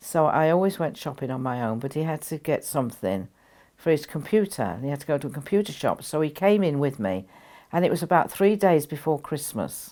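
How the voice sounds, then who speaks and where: This woman has a very deep, low pitch and a dark, mellow tone. She talks at a fairly quick pace with lively intonation, captured on a very clean recording with a silent background. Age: 80s+. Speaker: spiritual teacher. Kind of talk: storytelling interview.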